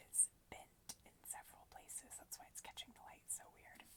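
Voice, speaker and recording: A woman is whispering. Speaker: booktuber and ASMR creator. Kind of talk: casual talk to camera, book chat. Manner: whispered.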